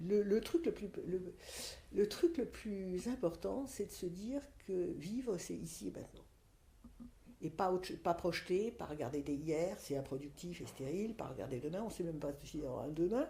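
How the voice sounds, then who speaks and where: At a moderate pace, a woman speaks with a somewhat breathy, dark, mellow tone at medium pitch, her intonation swinging very widely. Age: 60s. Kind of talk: podcast interview, personal testimony. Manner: hesitant, many fillers and repetitions.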